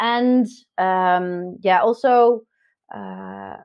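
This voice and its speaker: A woman with a Dutch accent speaks at a fairly high pitch with ordinary pitch variation. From Netherlands, South Holland. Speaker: digital marketer. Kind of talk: podcast interview. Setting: video call from home garden. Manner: hesitant, many fillers.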